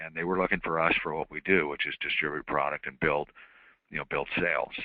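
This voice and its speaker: A man is speaking. His pitch is very deep and low. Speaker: insurance marketing representative. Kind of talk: webinar presentation. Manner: fast; halting, many fillers.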